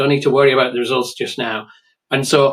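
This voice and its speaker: A man speaks with an English accent. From England. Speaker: writer and online creator. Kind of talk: interview.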